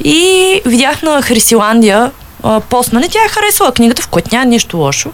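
A high-pitched woman speaks in an animated tone at a moderate pace, with very wide pitch swings and very even loudness. Noticeable background noise runs behind her. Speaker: book blogger. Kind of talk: casual chat. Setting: studio.

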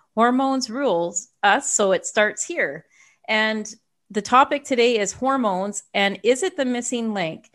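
Over a quiet background, a woman with a normal speaking voice and a fairly high pitch talks at a fairly slow pace with lively intonation. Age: 50s. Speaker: podcast host and health coach. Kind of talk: interview.

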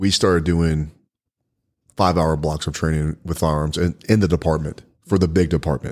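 In a Texan accent, a man with a very deep, low pitch speaks at a moderate pace in a monotone, flat intonation. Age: 40s. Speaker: podcast host and firearms instructor. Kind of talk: casual interview.

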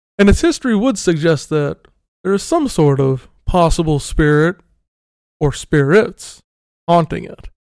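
A calm tone at a fairly slow pace. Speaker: storyteller and podcast co-host. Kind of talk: ghost story telling, retelling a dream and a haunted house tale. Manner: calm, measured, suspenseful storyteller pacing.

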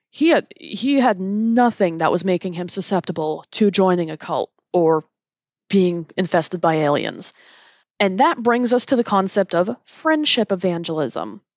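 At a moderate pace, a woman with a plain, everyday voice speaks at medium pitch with lively intonation. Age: 30s. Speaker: podcast host. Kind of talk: solo commentary.

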